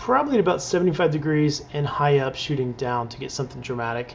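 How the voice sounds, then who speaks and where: Amid noticeable background noise, a man with an American accent talks very fast at a fairly high pitch with ordinary pitch variation. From Texas, Dallas. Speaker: wedding and portrait photographer. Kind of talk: tutorial.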